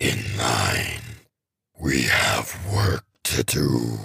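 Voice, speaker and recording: A man bellows loudly in a put-on character voice. It is raspy and very deep in pitch. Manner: bellowing, loud.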